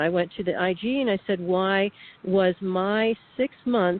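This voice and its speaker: A woman talks in a normal speaking voice. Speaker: whistleblower, radio guest. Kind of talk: radio interview testimony.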